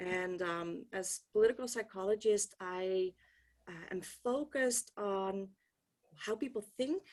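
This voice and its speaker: Speaking with a Dutch accent, a woman talks at a fairly slow pace in a medium pitch, with ordinary pitch variation. Her loudness swings widely, and the background is quiet. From Netherlands. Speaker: political science professor. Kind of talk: keynote talk. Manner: hesitant, many ums.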